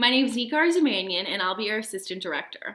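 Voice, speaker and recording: A woman with a Midwestern American accent, fairly high-pitched, with very wide pitch swings and a very fast pace. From US Midwest, Chicago suburbs. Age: young. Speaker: university student, assistant director. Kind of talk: self-introduction video.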